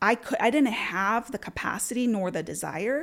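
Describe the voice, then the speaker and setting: In a Spanish accent, a woman talks at a moderate pace. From Puerto Rico, then Florida from age twelve. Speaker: tech executive. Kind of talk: interview.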